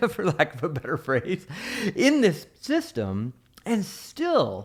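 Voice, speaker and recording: Against a quiet background, a man speaks at a fairly slow pace in an animated tone. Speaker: mortgage marketing coach. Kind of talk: software tutorial. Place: home room. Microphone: studio mic.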